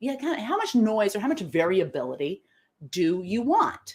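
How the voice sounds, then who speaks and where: A woman with a fairly high pitch and a somewhat breathy voice speaks at a moderate pace, her tone animated and her pitch swinging very widely. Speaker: live show host and decision-making trainer. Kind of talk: live-streamed talk to online audience.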